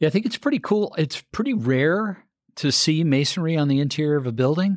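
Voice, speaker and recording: The delivery is very fast, with ordinary pitch variation. The recording is very clean, with a silent background. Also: man. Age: 50s. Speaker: podcast host and architect. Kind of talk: interview.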